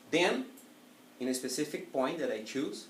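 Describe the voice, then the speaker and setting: A man speaks in a Portuguese accent with very wide pitch swings. Audible room echo surrounds his voice. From Italy. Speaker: public speaking trainer. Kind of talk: educational presentation.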